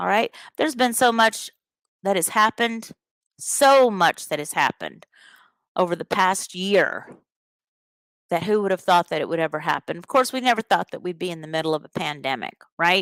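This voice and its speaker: A woman's medium-pitched voice with lively intonation at a moderate pace, broken by long, frequent pauses, dry and close with no echo, on a very clean recording with a silent background. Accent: Southern US. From US Deep South, rural Alabama. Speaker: podcast host, teacher. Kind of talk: live podcast monologue. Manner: animated.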